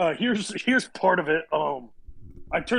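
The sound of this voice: Lively intonation in an unforced reading voice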